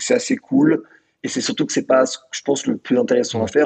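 The recording is dry and close with no echo, as a man speaks at a fairly quick pace. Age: 20s. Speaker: founder of an online media outlet. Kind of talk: casual interview conversation.

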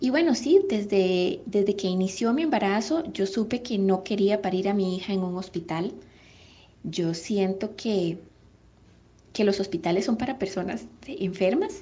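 Her tone is dark and mellow, somewhat breathy, at a medium pitch for a woman. She moves at a fairly slow pace with ordinary pitch variation. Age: 30s. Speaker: mother. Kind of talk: testimony.

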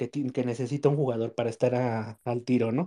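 The sound is dry and close, with no echo. A man with a dark, mellow tone speaks at a moderate pace. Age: 30s. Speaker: football fan commentator. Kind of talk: casual chat.

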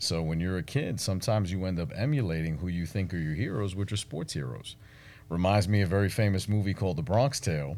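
In a New York accent, a man talks at a very fast pace with a very deep, low pitch and lively intonation, captured in a very clean recording with a silent background. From Brooklyn, New York City. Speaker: marketing agency owner and entrepreneur. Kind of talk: interview.

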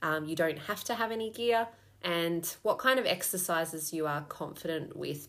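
A woman speaks with an Australian accent at a fairly low pitch. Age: 30s. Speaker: fitness coach. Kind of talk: promotional pitch.

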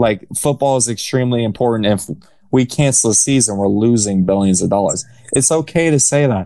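At a fairly quick pace, a man talks at a medium pitch in a dark, mellow tone with very even loudness. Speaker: sports podcast co-host. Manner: monotone, flat delivery, keeps going without pausing.

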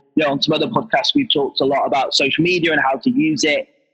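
Music plays behind a man speaking at a fairly high pitch. His pitch variation is ordinary. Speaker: podcast host. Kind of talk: interview conversation. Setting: video call while on the road. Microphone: poor line quality.

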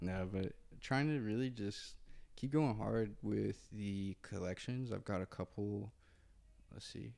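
Fairly low in pitch, a man talks at a fairly slow pace with a dark, mellow tone. The recording is very clean, the background silent. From Indiana, US Midwest. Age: 20s. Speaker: clothing designer. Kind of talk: casual chat. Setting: studio.

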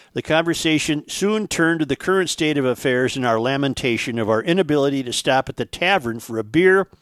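A man with an American accent uses an ordinary speaking voice at fairly high pitch, with lively intonation and a fairly quick pace. The recording is very clean and dry, close with no echo and a silent background. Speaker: podcast host. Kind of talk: casual talk show. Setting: studio.

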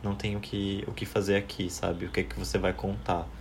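A man's fairly low voice carries audible echo from the room around him. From Ceará, Brazil (interior, near Juazeiro do Norte), moved to São Paulo at 10. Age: 20s. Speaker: podcast guest. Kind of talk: casual chat.

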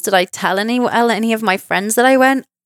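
In a very clean recording with a silent background and a dry, close sound with no echo, a woman speaks with a southern English accent. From southern England, near Reading. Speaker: podcast host, psychic medium. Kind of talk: personal storytelling monologue.

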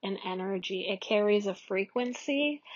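This woman speaks at a medium pitch. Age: 30s. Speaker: podcast host. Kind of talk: solo monologue. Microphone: phone recording.

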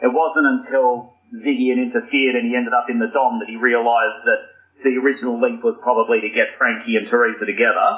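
Very fast speech from a man in an Australian accent. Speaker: podcast guest. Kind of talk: casual chat.

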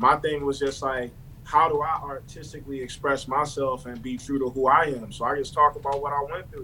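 Monotone, flat intonation at a fairly quick pace, with noticeable background noise. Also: man, fairly high pitch for a man. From Baltimore. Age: young. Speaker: rapper. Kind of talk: casual interview chat.

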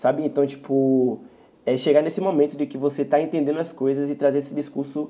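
A man's fairly high-pitched voice with a dark, mellow tone at a very fast pace. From Salvador, Bahia, Brazil. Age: 20s. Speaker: singer. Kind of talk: casual interview. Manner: casual slang-heavy.

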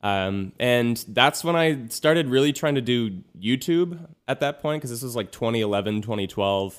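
A man with a medium pitch and a Californian accent, at a moderate pace. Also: lively intonation. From US West Coast, Los Angeles area. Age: 20s. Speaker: singer-songwriter and YouTuber. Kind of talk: casual interview chat. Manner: halting, many fillers and restarts.

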